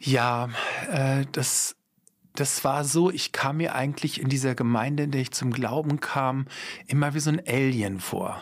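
A man speaks in a normal speaking voice at medium pitch. His intonation is fairly even and his pace fairly slow. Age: 50s. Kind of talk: interview.

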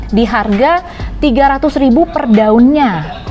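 Faint music plays in the background while a woman talks. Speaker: plant shop host. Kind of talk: casual product explainer. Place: garden.

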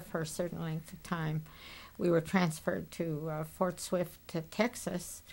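A woman speaks in an American accent with a fairly low pitch. Her intonation is monotone and flat, and her voice has vocal fry. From United States. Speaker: World War II Army nurse. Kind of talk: oral history interview answer. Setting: interview recording. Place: studio.

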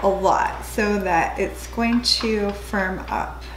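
A woman speaks with noticeable background noise. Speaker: lifestyle vlogger. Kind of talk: casual vlog talk to camera. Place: kitchen. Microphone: camera far.

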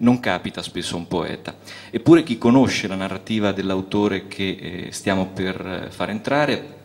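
At a fairly low pitch, a man speaks in an ordinary speaking voice with ordinary pitch variation and a moderate pace. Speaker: festival host. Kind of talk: stage introduction of a guest poet. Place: stage. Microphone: handheld.

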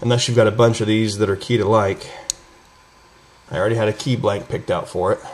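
Light background noise runs behind a man speaking. He talks fairly quickly with fairly even intonation. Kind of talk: tutorial. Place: workshop.

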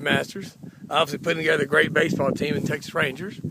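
A man speaks with fairly even intonation in a dry sound with no echo. Noticeable background noise runs underneath. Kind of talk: sales commentary. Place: open country. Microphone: phone near.

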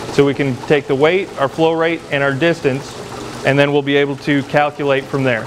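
Light background noise sits behind a man speaking at a moderate pace with monotone, flat intonation. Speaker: lab instructor. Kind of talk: tutorial. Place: workshop.

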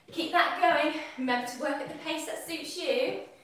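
Amid strong room echo, a woman talks at a moderate pace with ordinary pitch variation. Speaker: fitness instructor. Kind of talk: workout class instruction. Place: kitchen. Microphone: camera far.

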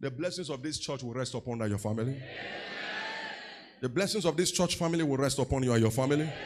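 Over light background noise, a man with a Nigerian accent speaks at a fairly quick pace, his fairly high voice full of lively intonation. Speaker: pastor. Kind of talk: teaching sermon with call-and-response to congregation. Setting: church. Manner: exhorting, repeatedly demanding 'say amen' from the crowd; conversational with fillers and self-corrections. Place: church. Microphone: handheld.

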